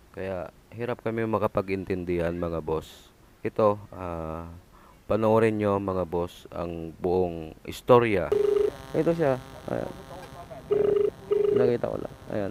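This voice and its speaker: A man with a fairly low voice speaks at a very slow pace with lively intonation over noticeable background noise. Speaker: delivery rider motovlogger. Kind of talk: vlog narration.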